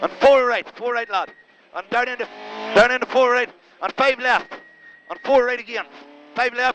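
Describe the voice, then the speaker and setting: A man talks at an extremely high pitch with long, frequent pauses. The sound is dry with no echo, over light background noise. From Ireland. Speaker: rally co-driver. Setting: inside a rally car during a stage. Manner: excitable, encouraging bursts between calls. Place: car. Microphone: helmet.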